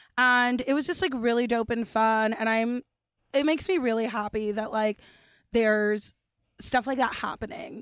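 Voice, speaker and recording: A woman with a Californian accent, fairly high pitch and ordinary pitch variation at a moderate pace, in a dry, close sound with no echo on a very clean recording with a silent background. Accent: Californian American. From Los Angeles, Dominican family. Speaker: comedian. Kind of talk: casual chat.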